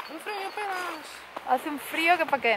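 Amid noticeable background noise, a woman speaks in a raised, projected voice with lively intonation. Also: dry sound with no echo. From Spain, Alicante. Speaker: travel vlogger. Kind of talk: casual vlog. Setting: outdoors in snow. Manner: animated. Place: open country. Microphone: phone near.

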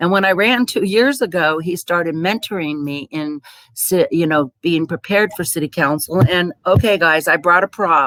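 On a very clean recording with a silent background, a woman speaks at a moderate pace with hardly any pauses, a fairly low pitch and ordinary pitch variation. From US West Coast. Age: 60s. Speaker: city council candidate. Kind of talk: candidate forum speech. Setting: public forum.

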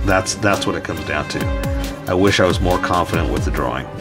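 A man speaks at a fairly quick pace over clear background music. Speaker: artist drawing tutorial host. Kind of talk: casual tutorial commentary while drawing. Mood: mildly frustrated, self-deprecating.

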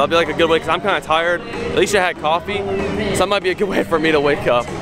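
Over music in the background, a man talks at a very fast pace with ordinary pitch variation in a dry sound with no echo. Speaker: vlogger. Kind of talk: casual vlog chat. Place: street. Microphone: phone near.

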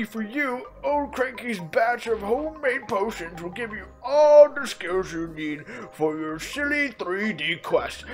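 Over clear music in the background, a put-on character voice sounds strained and fairly high in pitch as it moves at a fairly slow pace. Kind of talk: let's play commentary, reading game dialogue aloud. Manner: grumpy, gruff.

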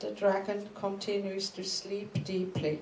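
A woman talks with a German accent at a medium pitch. Her pace is very slow, and audible room echo fills the space. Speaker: artist and research institute director. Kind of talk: lecture. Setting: stage with audience. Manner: halting. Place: hall. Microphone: podium.

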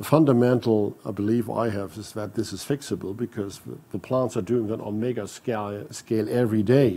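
Speaking at a fairly quick pace, a man uses a fairly low pitch, a dark, mellow tone and fairly even intonation. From Germany. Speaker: corporate CEO; panelist. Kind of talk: panel discussion. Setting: stage with audience. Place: hall. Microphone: lapel.

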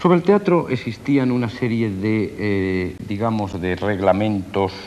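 Light background noise sits behind the voice. A man speaks at a fairly low pitch. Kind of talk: interview answer. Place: street.

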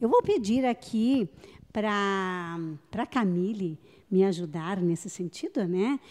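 The tone is dark and mellow, with lively intonation. The background is quiet. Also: woman. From Rio Grande do Sul, Vale do Taquari; Rio Grande do Sul. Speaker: radio host. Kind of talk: live radio interview. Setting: on location at a memorial, live broadcast. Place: hall. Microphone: handheld.

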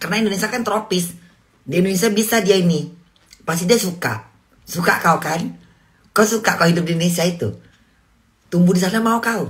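Somewhat breathy, a woman talks at a very fast pace with ordinary pitch variation over a quiet background. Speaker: livestream host. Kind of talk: casual livestream chat. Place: home room. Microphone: phone near.

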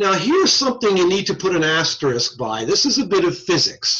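A man speaks with a bright, sharp tone and very wide pitch swings. The background is quiet. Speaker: teacher. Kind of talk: lecture. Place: home room. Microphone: video call.

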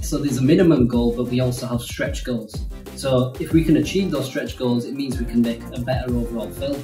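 Clear music plays behind a man talking at a fairly quick pace. Audible room echo surrounds his voice. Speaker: animation studio co-founder. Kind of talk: casual talk to camera. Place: home room.

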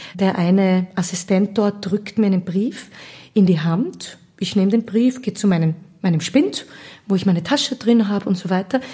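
At a moderate pace, a woman speaks in a medium-pitched, somewhat breathy voice with a dark, mellow tone and ordinary pitch variation. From Austria, Vienna area (Gablitz). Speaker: singer and musical actress. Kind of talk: casual interview. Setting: at her home in Gablitz.

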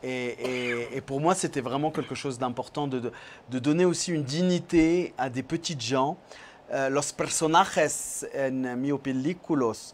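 Speaking in a French accent at a fairly slow pace, a man has a fairly high pitch, ordinary pitch variation and light background noise behind him. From France. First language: French (speaking Spanish). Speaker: film director; guest. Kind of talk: interview. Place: studio. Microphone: lapel.

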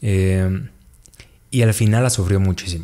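Fairly slow male speech with a dark, mellow tone and ordinary pitch variation. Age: 30s. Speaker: storyteller guest; guest. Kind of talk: storytelling testimony. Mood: earnest, reflective storytelling. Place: studio. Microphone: studio mic.

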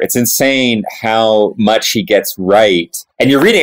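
A man's voice at a medium pitch. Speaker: professor. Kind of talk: casual chat.

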